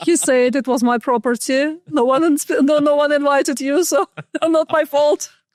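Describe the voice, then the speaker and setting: A woman's high voice with a Russian accent, ordinary pitch variation and very even loudness, in a dry, close sound with no echo. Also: moderate pace. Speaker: buyers agent. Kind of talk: podcast interview.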